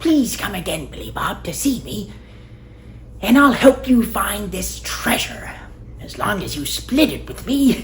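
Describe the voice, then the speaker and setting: Against clear background noise, a man uses a put-on character voice at a fairly slow pace. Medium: solo performance.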